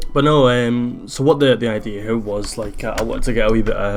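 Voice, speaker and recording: Noticeable background noise surrounds a man with a Scottish accent. His intonation is fairly even. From Scotland. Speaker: gaming youtuber. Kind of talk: gameplay commentary. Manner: hesitant, many fillers.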